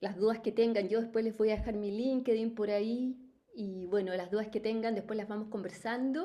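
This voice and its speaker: A woman's fairly high voice with a dark, mellow tone and a Chilean accent, at a moderate pace. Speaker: life coach, company founder. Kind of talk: webinar talk. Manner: spontaneous, animated.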